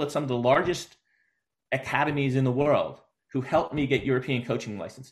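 Somewhat breathy speech at a very fast pace. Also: man. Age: 50s. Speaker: youth soccer coach. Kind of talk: casual interview.

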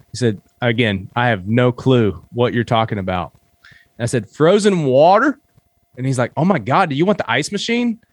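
In a dry, close sound with no echo, a man of medium pitch talks at a moderate pace with very wide pitch swings. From southeastern Kentucky, Appalachia. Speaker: app founder and hunter. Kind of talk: casual interview chat.

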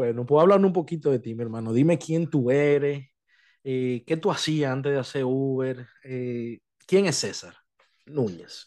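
A man speaks at a fairly slow pace with a medium pitch and a dark, mellow tone. His pitch varies in an ordinary way over a quiet background. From Dominican Republic. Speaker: podcast host, Uber driver. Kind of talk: casual chat.

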